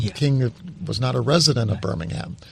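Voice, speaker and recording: Here is a man with an American accent at medium pitch. He sounds somewhat breathy and keeps a moderate pace. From New Mexico, US. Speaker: history professor. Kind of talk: interview. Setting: studio. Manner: halting.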